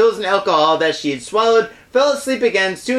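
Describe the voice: The voice is plain reading aloud, marked by lively intonation.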